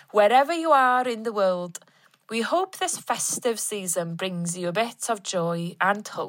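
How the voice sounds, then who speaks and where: A woman speaks at a fairly slow pace in a normal speaking voice, medium-pitched with lively intonation, on a very clean recording with a silent background. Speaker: arts organisation director, guest presenter. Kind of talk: podcast intro and outro, scripted announcement.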